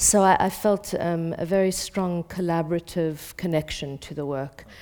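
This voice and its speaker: A woman's dark, mellow voice, fairly low in pitch, at a moderate pace. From South Africa. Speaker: theatre director. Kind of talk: panel discussion. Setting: stage with audience.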